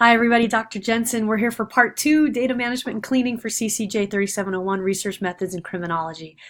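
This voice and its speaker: A woman rushes along at a very fast pace with hardly any pauses, her pitch fairly high and its variation ordinary. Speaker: university lecturer. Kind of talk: recorded lecture. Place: home room. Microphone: webcam.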